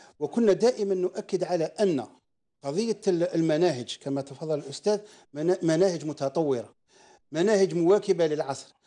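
High-pitched male voice, dark and mellow, at a fairly slow pace with ordinary pitch variation and a quiet background. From Algeria. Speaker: parents' association representative; guest. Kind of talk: live TV debate. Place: studio. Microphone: lapel.

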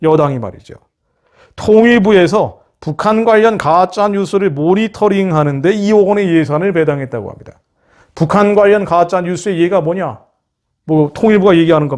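This man's pitch is high, with ordinary variation. He talks at a moderate pace. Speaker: missionary ministry leader and commentator. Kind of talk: political and religious commentary monologue. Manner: impassioned.

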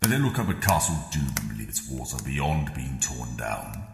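Moving at a moderate pace, a man's voice makes very wide pitch swings against a clear echo. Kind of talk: grand theatrical villain speech. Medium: voice reel. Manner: imperious, cold, contemptuous.

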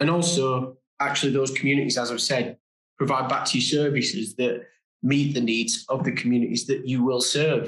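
A man with a British accent at a fairly quick pace, his loudness very even, with audible room echo over a quiet background. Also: medium pitch for a man, fairly even intonation. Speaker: diversity and inclusion manager. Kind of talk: webinar presentation. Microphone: webcam.

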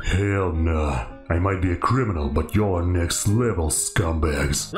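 A man speaks at a fairly slow pace with a very deep, low pitch. Clear background noise can be heard. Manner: aggressive, profane, slangy.

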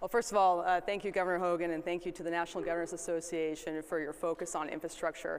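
The speech runs at a fast pace with little pitch movement. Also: woman, fairly low pitch for a woman.

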